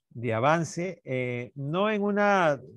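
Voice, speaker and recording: The man's intonation is lively. Music can be heard in the background. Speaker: NGO director, mining activist. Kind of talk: panel discussion. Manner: halting, many fillers.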